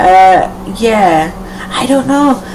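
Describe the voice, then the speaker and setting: Speaking at a very slow pace, a woman uses lively intonation at a medium pitch. Noticeable background noise and audible room echo fill the recording. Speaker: live streamer. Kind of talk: casual chat. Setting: live video stream. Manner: hesitant, many fillers.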